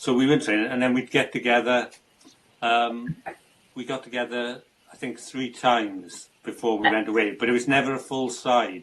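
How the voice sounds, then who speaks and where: The speaker has a South Wales accent and a moderate pace. Their intonation stays fairly even. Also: man, medium pitch for a man. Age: 60s. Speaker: amateur football goalkeeper with Parkinson's. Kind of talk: interview. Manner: halting.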